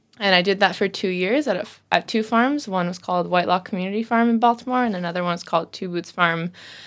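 Speaking with an American accent, a woman goes at a very fast pace. Her pitch is medium, with ordinary variation. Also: very clean recording, silent background. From US. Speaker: fermentation workshop teacher. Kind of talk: casual interview. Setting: studio.

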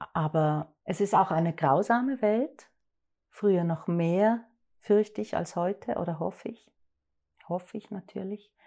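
A woman's medium-pitched, dark, mellow voice at a fairly slow pace, with ordinary pitch variation, long, frequent pauses and a very clean recording with a silent background. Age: 50s. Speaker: actress and director. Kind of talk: interview.

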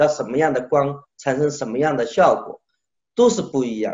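A man speaks at a fairly high pitch. His tone is animated. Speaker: sculptor. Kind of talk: interview.

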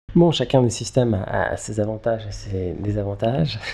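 Noticeable background noise accompanies a man speaking in a fairly low pitch. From Switzerland, Geneva. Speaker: film director and screenwriter. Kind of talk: interview. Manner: halting, many repetitions and fillers.

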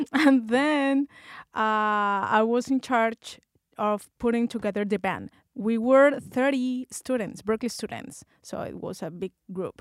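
In a Spanish accent, a woman with a fairly high pitch speaks at a fairly slow pace with ordinary pitch variation, in a very clean recording with a silent background and a dry, close sound with no echo. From Colombia. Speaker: bassist and music student. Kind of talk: interview. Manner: halting.

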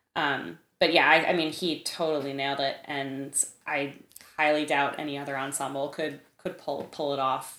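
Bright and sharp in tone, a woman speaks with an American accent at a moderate pace. Her pitch is very deep and low, with fairly even intonation. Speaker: composer. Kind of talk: interview.

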